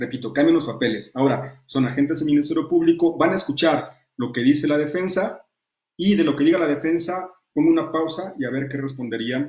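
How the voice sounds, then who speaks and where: A man with a fairly high voice speaks with ordinary pitch variation. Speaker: law lecturer and defense lawyer. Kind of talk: online lecture. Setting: virtual class. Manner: fast.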